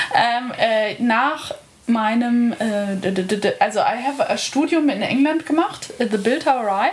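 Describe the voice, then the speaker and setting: A high-pitched woman, fairly slow, with lively intonation and very even loudness, over noticeable background noise. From Bavaria, Lake Starnberg. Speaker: artist. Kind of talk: casual chat. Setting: live recording in a bed.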